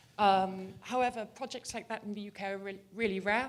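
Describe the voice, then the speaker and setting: A woman speaks in a medium pitch with a British accent. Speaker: audience member asking a question. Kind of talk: audience question. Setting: conference with audience.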